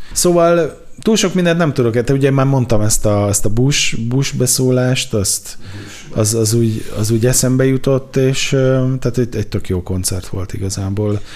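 Man at a moderate pace, medium pitch and ordinary pitch variation. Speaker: culture journalist. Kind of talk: casual chat about music. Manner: halting.

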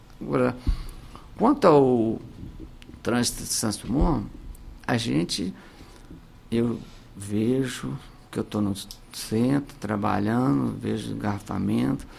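The speech moves at a very slow pace, broken by long, frequent pauses. Its pitch swings very widely. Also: man, fairly low pitch for a man. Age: 50s. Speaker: mayoral candidate. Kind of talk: political radio interview. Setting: radio studio. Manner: animated.

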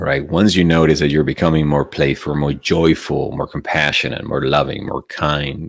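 A man's very deep, low voice at a moderate pace, with fairly even intonation and hardly any pauses. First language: Spanish. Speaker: meditation teacher. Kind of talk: livestream talk and guided meditation. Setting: online livestream. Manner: soft-spoken.

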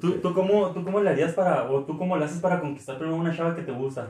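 Very fast, a man with a high pitch talks with ordinary pitch variation. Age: 20s. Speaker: podcast co-host. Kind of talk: casual chat.

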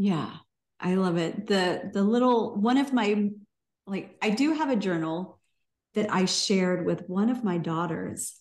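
Speaking at a fairly slow pace, a woman with a plain, everyday voice keeps a medium pitch and ordinary pitch variation. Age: 40s. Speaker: podcast host. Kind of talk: casual chat.

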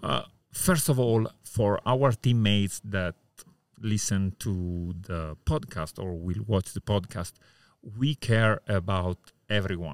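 Very slowly, a man speaks with an Italian accent and a fairly low pitch. The recording is very clean with a silent background, and the sound is dry and close with no echo. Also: ordinary pitch variation. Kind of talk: casual interview. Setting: poolside outdoors.

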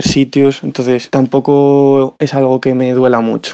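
A man talks in a monotone with flat intonation. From Spain, Salamanca. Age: 20s. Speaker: musician. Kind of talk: recorded voice message.

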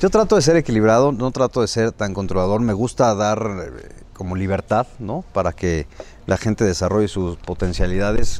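Speaking at a moderate pace, a man uses an ordinary speaking voice with ordinary pitch variation. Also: fairly low pitch for a man. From Mexico, Puebla. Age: 40s. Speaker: state legislator. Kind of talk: interview.

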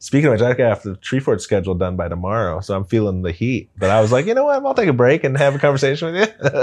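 With an American accent, a man at medium pitch talks at a very fast pace with hardly any pauses and lively intonation over a quiet background. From Boise, Idaho. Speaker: music festival founder and concert promoter. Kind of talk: casual chat.

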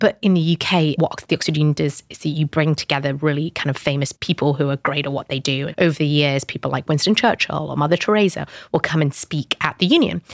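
A woman with a British accent talks at a very fast pace with hardly any pauses, in a very deep, low pitch with ordinary variation. The sound is dry and close, without echo. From northern England, British Pakistani family. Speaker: startup founder. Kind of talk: interview.

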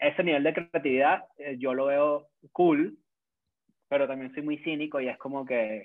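This man speaks with a Caracas accent. His pitch is fairly high and his intonation fairly even. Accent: Venezuelan Spanish (Caracas). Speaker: content creator. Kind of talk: casual chat.

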